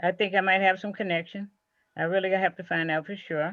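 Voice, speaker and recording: In a quiet background, a woman talks at a medium pitch with fairly even intonation. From Mississippi. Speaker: genealogy group member. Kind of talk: video meeting introduction. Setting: video call.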